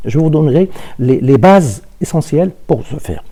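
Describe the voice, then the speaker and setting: Somewhat breathy and dark, mellow in tone, a man speaks at a fairly high pitch with lively intonation. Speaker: university lecturer. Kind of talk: lecture. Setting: remote online class. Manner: halting, many repetitions and fillers.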